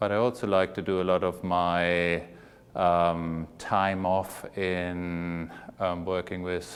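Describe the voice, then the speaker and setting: A man with a German accent speaks in a very deep, low voice and a flat monotone, on a very clean recording with a silent background. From Germany. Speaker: plastic surgeon. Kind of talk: interview.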